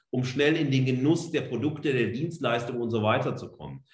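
A somewhat breathy voice in audible room echo. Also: man. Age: 40s. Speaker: media studies professor. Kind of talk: lecture. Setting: online talk.

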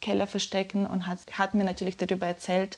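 A woman at medium pitch talks with a quiet background behind her. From Ukraine, Donetsk. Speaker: journalist. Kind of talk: interview.

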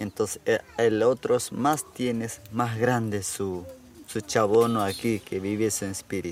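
A man with an Amazonian accent, fairly low in pitch, with fairly even intonation and a fairly slow pace. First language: Yanomami (speaking German). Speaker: village chief. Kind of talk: interview. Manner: halting.

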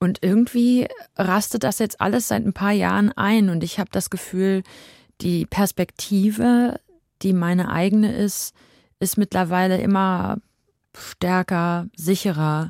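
A woman speaks at a fairly slow pace in an unremarkable speaking voice, medium-pitched with ordinary pitch variation and very even loudness. The recording is very clean with a silent background and a dry, close sound with no echo. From Germany, Dortmund. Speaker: singer-songwriter. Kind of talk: radio interview. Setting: studio.

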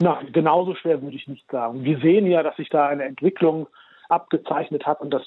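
This man has an unremarkable speaking voice, fairly high in pitch for a man, with ordinary pitch variation and a fairly quick pace. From Germany. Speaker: journalist and author. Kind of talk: radio interview.

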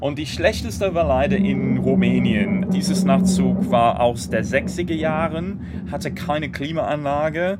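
A man talks at a very slow pace with lively intonation and a fairly high pitch. The room echo is audible, and background noise is noticeable. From Great Britain. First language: English (speaking German). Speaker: political blogger and rail campaigner. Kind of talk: interview. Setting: on a train.

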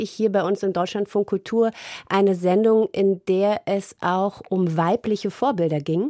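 In a very clean recording with a silent background and a dry, close sound with no echo, a woman with a dark, mellow tone speaks at a fairly slow pace with fairly even intonation. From East Germany. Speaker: radio editor. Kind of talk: casual chat.

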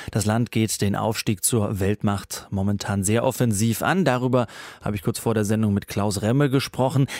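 On a very clean recording with a silent background and a dry, close sound with no echo, a man speaks at a moderate pace. He has an ordinary speaking voice, fairly low in pitch, with fairly even intonation. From Baden, Pforzheim area. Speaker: radio news show host. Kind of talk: radio news magazine presenting. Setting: studio.

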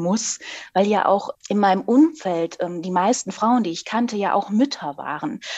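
Speaking fairly slowly, a woman has lively intonation. She uses a plain, everyday voice. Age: 40s. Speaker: author. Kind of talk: interview.

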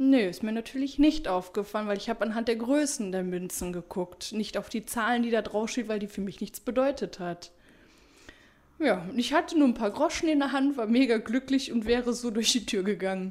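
A woman's ordinary speaking voice, fairly high in pitch with ordinary pitch variation, at a fairly quick pace. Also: very clean recording, silent background. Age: 30s. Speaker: former nurse. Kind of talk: interview.

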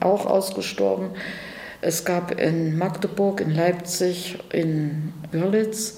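A woman's fairly low voice at a very slow pace with fairly even intonation, amid audible room echo and noticeable background noise. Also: very even loudness. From Erfurt, Thuringia. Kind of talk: interview.

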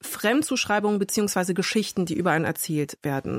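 Dry and close with no echo, the recording captures a woman speaking. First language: bilingual German and French (speaking German). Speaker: podcast host. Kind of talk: interview. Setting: studio.

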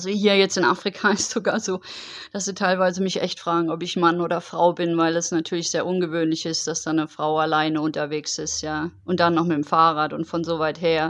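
Her voice is fairly low in pitch for a woman, with monotone, flat intonation, and she speaks at a fairly quick pace. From Germany, Heidelberg. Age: 40s. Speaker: long-distance cycling traveller. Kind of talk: interview.

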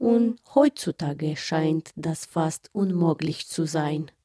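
With a Romanian accent, a woman speaks at a very slow pace in a fairly low pitch and a dark, mellow tone, the sound dry and close with no echo. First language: Romanian (speaking German). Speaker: artist and feature author. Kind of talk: scripted narration with interview voice-over.

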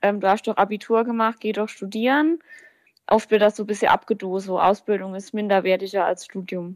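Here is a woman with an ordinary speaking voice at medium pitch. She talks at a fairly quick pace with fairly even intonation, in a dry, close sound with no echo. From Palatinate, Germany (near Kaiserslautern). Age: 20s. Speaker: baker and pastry chef. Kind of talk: interview answers.

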